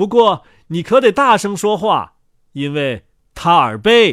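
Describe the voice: On a very clean recording with a silent background, a man puts on a character voice, high in pitch with big pitch swings, a fairly bright tone and a fairly slow pace.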